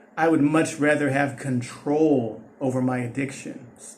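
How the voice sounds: A man's voice with fairly even intonation and audible room echo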